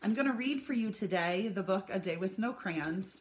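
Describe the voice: The clip consists of plain reading aloud.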